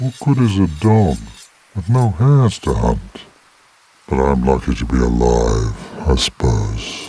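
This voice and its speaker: A man's put-on character voice, very deep and low, solemn in tone, with very wide pitch swings and long, frequent pauses. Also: fairly slow pace. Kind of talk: archaic formal speech. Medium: video game. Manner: slow, solemn, sorrowful.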